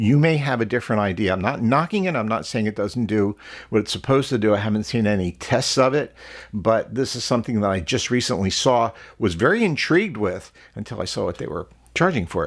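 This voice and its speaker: The recording is very clean, with a silent background. A man with an American accent talks at a very fast pace, his medium-pitched voice showing lively intonation. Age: 70s. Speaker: model car hobbyist YouTuber. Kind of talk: casual product review. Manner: hesitant with many fillers.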